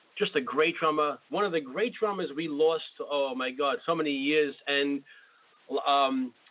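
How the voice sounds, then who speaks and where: Through noticeable background noise, a man talks at a fairly slow pace in a fairly high pitch, with ordinary pitch variation. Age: 40s. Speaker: drummer and show host. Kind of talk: interview. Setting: phone call.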